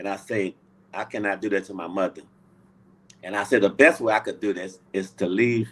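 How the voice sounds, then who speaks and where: At a fairly quick pace, a man speaks with fairly even intonation and a fairly low pitch. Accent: Louisiana. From US South, Louisiana. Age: 70s. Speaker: Navy veteran. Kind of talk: interview. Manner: halting.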